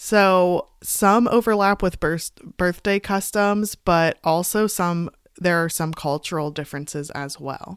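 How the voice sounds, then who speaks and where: With a plain, everyday voice, a woman speaks fairly slowly at a fairly low pitch with ordinary pitch variation. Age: 20s. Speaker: podcast host and author. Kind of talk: casual chat. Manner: casual, frequent fillers.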